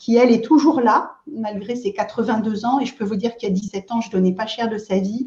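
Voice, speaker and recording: A woman speaks at a moderate pace with a fairly high pitch and a dark, mellow tone. Her voice is somewhat breathy, with fairly even intonation. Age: 60s. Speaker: aloe vera product seller, entrepreneur. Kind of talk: interview, casual chat. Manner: hesitant, many fillers.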